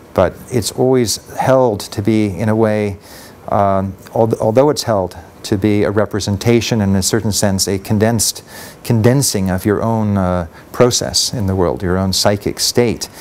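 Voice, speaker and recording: Delivered at a moderate pace, this is a normal speaking voice with ordinary pitch variation. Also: man, fairly low pitch for a man. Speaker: conference presenter. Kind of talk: lecture. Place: hall.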